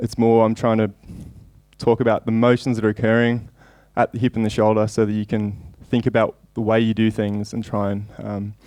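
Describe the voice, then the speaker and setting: In an Australian accent, a man speaks at a fairly quick pace with a dark, mellow tone, medium pitch and monotone, flat intonation over a quiet background. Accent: thick Australian. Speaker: javelin coach and sports scientist. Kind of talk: conference lecture. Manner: fast; hesitant with fillers.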